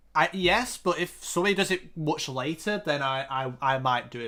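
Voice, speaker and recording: This man has a northern English accent and a fairly high pitch, with a bright, sharp tone and lively intonation. The recording is very clean, with a silent background. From northern England, Yorkshire near Oldham/Huddersfield. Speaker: GeoGuessr streamer. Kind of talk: casual live stream chat. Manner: halting, many fillers and restarts.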